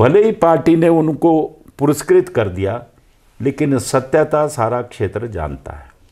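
At a very slow pace over a quiet background, a man with a dark, mellow tone and vocal fry uses lively intonation and big swings in loudness. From Himachal Pradesh, Kullu; Himachal Pradesh. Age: 70s. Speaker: veteran politician; politician interviewee. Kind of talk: interview. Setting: at his residence. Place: home room. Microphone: lapel.

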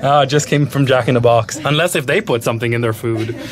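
Over clear background noise, a man talks fast with ordinary pitch variation. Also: medium pitch for a man.

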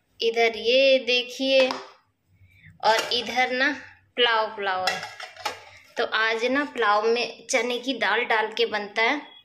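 Music plays behind a woman who talks at a very slow pace with fairly even intonation. She leaves long, frequent pauses. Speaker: home vlogger. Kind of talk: casual vlog chat. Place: kitchen. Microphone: phone near.

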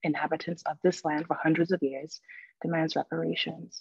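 Flat, monotone delivery with vocal fry at a fairly quick pace. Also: woman. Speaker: English professor. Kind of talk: lecture. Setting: video call. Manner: very quiet.

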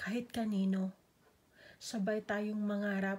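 A somewhat breathy woman at a medium pitch, dramatic in tone, at a very slow pace. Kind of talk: spoken poetry; heartfelt personal monologue. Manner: emotive, slow and measured with dramatic pauses; wistful, tender, turning hurt then hopeful.

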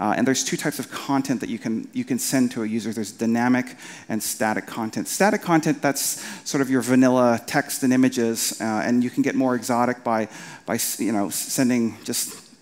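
This man's pitch variation is ordinary. He talks fairly quickly. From Canada, Winnipeg; Manitoba, Canada. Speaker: marketing entrepreneur and conference speaker; conference speaker. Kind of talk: conference talk. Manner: halting, many fillers and repeated words. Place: stage.

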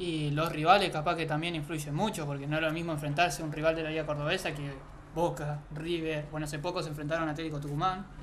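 A man speaks at a very fast pace with a fairly high pitch and monotone, flat intonation. Noticeable background noise runs behind him. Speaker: youth football channel host. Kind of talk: casual interview.

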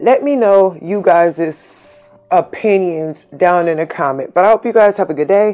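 A woman speaks at a fairly slow pace with hardly any pauses, her medium pitch moving with ordinary variation. Music plays in the background. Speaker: YouTuber. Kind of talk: casual talk to camera, reading news story aloud. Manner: stutters.

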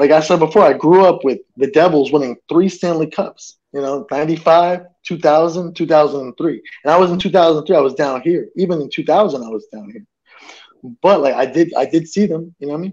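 A man with an American accent, fairly high-pitched, at a moderate pace, with ordinary pitch variation, big swings in loudness, and a quiet background. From New Jersey, then Tampa Bay from childhood; New Jersey. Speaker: sports fan guest; guest. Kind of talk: casual chat. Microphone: earbuds.

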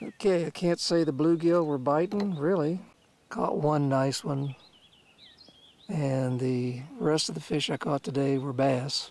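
The speech moves at a fairly slow pace in a dry sound with no echo. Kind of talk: casual vlog chat. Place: boat. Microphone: phone near.

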